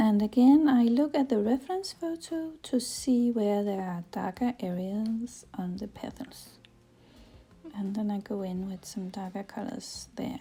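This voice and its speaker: Speaking with a non-native accent, a woman with a fairly high pitch shows big swings in loudness. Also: lively intonation. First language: not English. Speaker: watercolour painting teacher. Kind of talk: tutorial. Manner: hesitant, many fillers.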